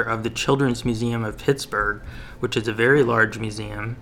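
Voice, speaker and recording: A man's bright, sharp tone with monotone, flat intonation. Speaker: local news podcast host and publisher. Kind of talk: news roundup and interview.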